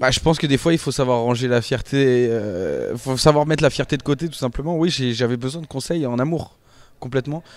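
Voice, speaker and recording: With a dry sound and no echo, a man at medium pitch speaks at a fairly quick pace with ordinary pitch variation. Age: 20s. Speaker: reality TV contestant. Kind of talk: interview answers; interview answer. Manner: hesitant, many fillers and repetitions. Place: office. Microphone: handheld.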